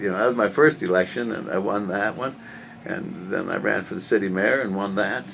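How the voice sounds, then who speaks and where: Moderately paced, the man's speech sits at a fairly low pitch. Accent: American. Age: 60s. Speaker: political candidate. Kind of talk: interview. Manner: halting.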